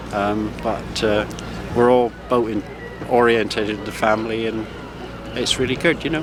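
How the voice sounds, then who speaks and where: In a West Country accent, a man speaks at a moderate pace with a medium pitch, fairly even intonation and long, frequent pauses, amid audible room echo and noticeable background noise. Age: 60s. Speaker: retired boat builder. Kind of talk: casual interview. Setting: outdoors at harbour boat rally. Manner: hesitant, many fillers.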